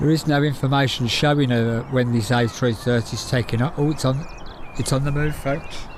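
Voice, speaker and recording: Against noticeable background noise, a man with a Birmingham accent speaks fairly quickly at medium pitch with fairly even intonation. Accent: Brummie. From Birmingham, England. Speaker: plane-spotting livestreamer. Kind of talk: live stream commentary. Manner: casual, chatty.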